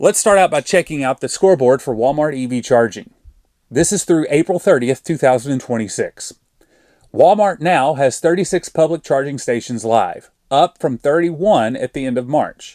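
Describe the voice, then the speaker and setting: Recorded very cleanly against a silent background, the dry, close sound has no echo, and a dark, mellow tone carries lively intonation at a moderate pace. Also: man, fairly high pitch for a man. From Arkansas. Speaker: EV charging YouTuber. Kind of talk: scripted narration.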